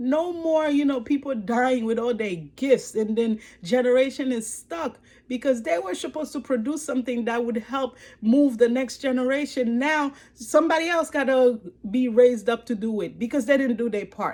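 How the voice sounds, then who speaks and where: Speaking with a Haitian accent, a woman has a high pitch, ordinary pitch variation and an animated tone. The recording is very clean, with a silent background. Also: moderate pace. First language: Haitian Creole or French. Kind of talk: motivational testimony. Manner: repetitive, with many fillers.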